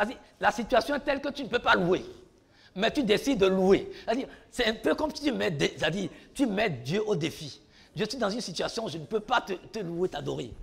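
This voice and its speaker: An animated man, high in pitch, with very wide pitch swings, big swings in loudness, a fairly quick pace and long, frequent pauses. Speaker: preacher. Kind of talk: sermon. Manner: repetitive, animated.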